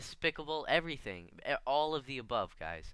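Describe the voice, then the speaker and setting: A man talks with an American accent. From Connecticut, US. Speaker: gaming YouTuber. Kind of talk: personal vlog monologue. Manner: halting, stuttering.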